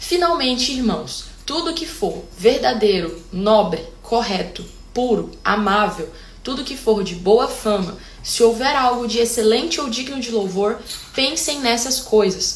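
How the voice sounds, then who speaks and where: Against noticeable background noise, a woman speaks at a fairly slow pace in a high voice with lively intonation. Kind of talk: casual talk to camera. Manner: talkative, expressive.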